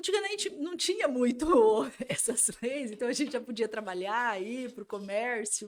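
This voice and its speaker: A woman's high-pitched voice, with very wide pitch swings. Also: moderate pace. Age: 40s. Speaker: lawyer. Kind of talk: podcast interview.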